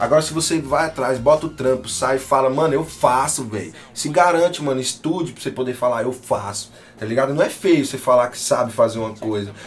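Against noticeable background noise, a man speaks with big swings in loudness. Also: medium pitch for a man, ordinary pitch variation, fairly quick pace. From Tocantins, northern Brazil. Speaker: rapper and music producer. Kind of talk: casual interview chat. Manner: casual slangy speech.

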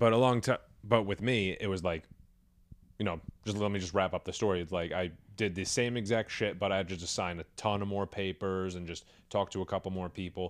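In an American accent and an ordinary speaking voice, a man talks at a fairly quick pace and fairly low pitch, with fairly even intonation, against a quiet background. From New York. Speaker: stand-up comedian and show producer. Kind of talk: casual chat.

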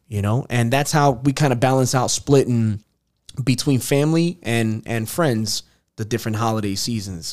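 A man talks at a medium pitch. His pace is moderate and his pitch variation ordinary. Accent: New York. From Queens, New York. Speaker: podcast host. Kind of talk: casual chat.

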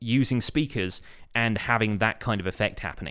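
On a very clean recording with a silent background, a man speaks at medium pitch with ordinary pitch variation in a British accent. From Britain. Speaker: podcast host, gaming content creator. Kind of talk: casual chat.

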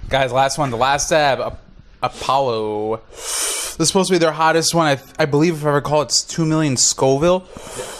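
A man speaks at a moderate pace with ordinary pitch variation, with noticeable background noise behind him. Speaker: podcast co-host. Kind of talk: casual chat. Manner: animated.

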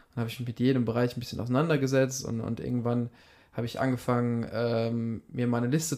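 A man at medium pitch, at a very fast pace. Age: 20s. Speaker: shopfitting entrepreneur in family business. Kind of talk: casual interview.

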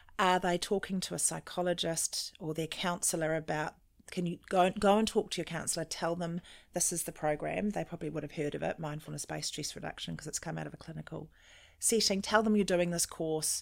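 A woman with a New Zealand accent speaks at a fairly low pitch with vocal fry and fairly even intonation. Her pace is fairly quick, and the recording is very clean with a silent background. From New Zealand, Auckland. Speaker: mental well-being consultant. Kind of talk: interview.

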